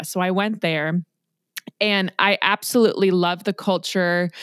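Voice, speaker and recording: This woman has an unremarkable speaking voice with an American accent, pitched in the medium range for a woman. She talks at a moderate pace, and the sound is dry and close with no echo. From US West Coast, Los Angeles. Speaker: podcast host. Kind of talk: casual interview. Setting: video call.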